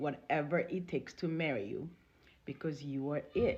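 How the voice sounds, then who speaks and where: Somewhat breathy, the woman's voice proceeds at a moderate pace. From Congo. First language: not English (Congolese language/French). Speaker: relationship storyteller. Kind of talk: personal testimony.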